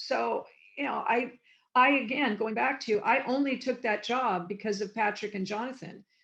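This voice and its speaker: A woman with an American accent has a normal speaking voice at a fairly high pitch. Her pace is moderate and her pitch variation ordinary. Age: 60s. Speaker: former TV production coordinator and convention guest. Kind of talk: interview.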